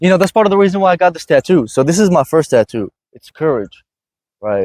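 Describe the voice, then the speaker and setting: A man talks at a very fast pace in an animated tone, his high pitch swinging very widely. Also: big swings in loudness, dry, close sound with no echo. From Iraq. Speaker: podcast host. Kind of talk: casual chat.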